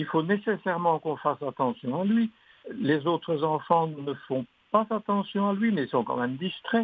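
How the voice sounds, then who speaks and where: A man speaks at a moderate pace in a high pitch. His intonation is lively. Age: 80s+. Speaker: retired catechist, retreat participant. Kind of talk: recorded testimony.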